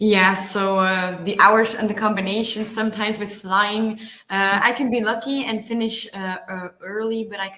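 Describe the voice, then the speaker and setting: Her tone bright and sharp, a woman with a Flemish accent speaks at a moderate pace. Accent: Belgian (Flemish) accent in English. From Belgium. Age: 20s. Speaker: paramotor pilot, pharma sales rep. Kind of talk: interview. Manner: halting with many fillers.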